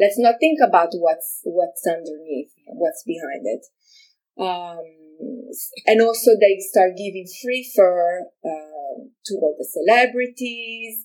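Using an Italian accent, a woman speaks very slowly at a medium pitch, with lively intonation and big swings in loudness. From Italy, Milan. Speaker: fashion designer. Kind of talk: interview. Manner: halting.

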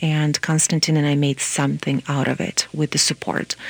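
A woman's very deep, low voice at a fairly quick pace, dry and close with no echo. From Moldova. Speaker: nonprofit executive director and lawyer. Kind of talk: radio interview.

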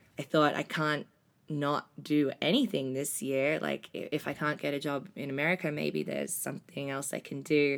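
A woman speaks with an Australian accent in a very deep, low voice. The recording is very clean, with a silent background. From Australia, Melbourne. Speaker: travel program leader. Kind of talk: casual chat.

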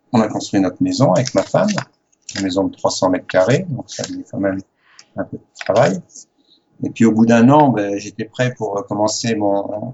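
The speaker talks at a moderate pace. There is a French accent. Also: man. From France. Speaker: sailor. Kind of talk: interview.

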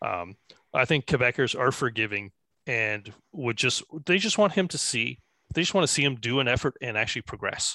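A man with a bright, sharp tone and medium pitch speaks at a fairly quick pace with lively intonation, in a dry, close sound with no echo. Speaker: political strategist consultant. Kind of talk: casual panel discussion.

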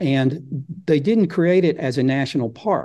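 A man in an Arkansas accent talks with a dark, mellow tone. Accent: Southern US (Arkansas). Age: 60s. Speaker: nature photographer and author. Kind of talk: casual interview chat.

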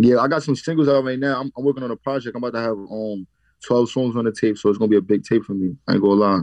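A very fast man's voice in a New York accent, medium in pitch, with ordinary pitch variation. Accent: New York City. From the Bronx, New York. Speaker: drill rapper. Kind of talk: interview.

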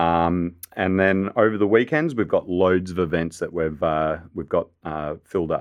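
Speaking at a fairly slow pace with hardly any pauses, a man uses a very deep, low voice with ordinary pitch variation. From Australia. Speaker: chef. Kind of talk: casual radio interview. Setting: studio.

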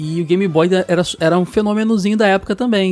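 In a dry, close recording with no echo, a man speaks at a high pitch and a fairly quick pace. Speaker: podcast host. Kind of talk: casual chat.

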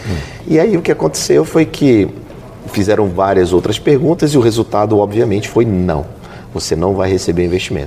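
A man speaks at a fairly quick pace with a fairly low pitch and very wide pitch swings. Noticeable background noise runs under his voice. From Belém, Pará, northern Brazil. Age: 50s. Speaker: investor and entrepreneur. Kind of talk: casual interview. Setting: corporate office space.

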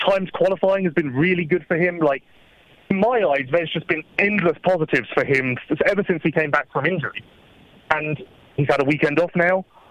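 A man with an English accent speaks at a fairly quick pace in a high voice, his loudness very even and his pitch varying in an ordinary way, recorded dry and close with no echo but with noticeable background noise. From England. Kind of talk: casual chat. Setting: phone call.

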